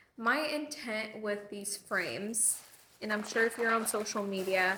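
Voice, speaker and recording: Loud speech at a fairly slow pace with fairly even intonation, amid noticeable background noise and audible room echo. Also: woman. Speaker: lifestyle vlogger. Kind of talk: casual vlog chat. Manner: breathing loudly.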